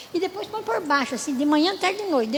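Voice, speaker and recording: Amid audible room echo and noticeable background noise, a woman talks at a high pitch with lively intonation. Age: 80s+. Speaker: church speaker, natural health teacher. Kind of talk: sermon.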